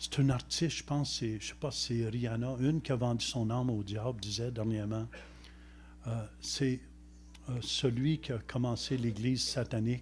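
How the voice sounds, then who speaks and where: Audible room echo surrounds a man speaking at a medium pitch and a moderate pace. His voice is somewhat breathy, with fairly even intonation. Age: 70s. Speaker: visiting preacher. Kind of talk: sermon.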